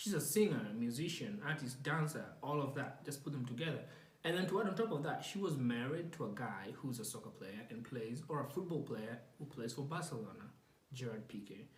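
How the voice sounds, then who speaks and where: A man talks at a fairly quick pace with a fairly high pitch and lively intonation. The room echo is audible, and background noise is noticeable. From Kenya. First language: not English. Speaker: podcast host. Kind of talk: casual monologue. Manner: hesitant, many fillers.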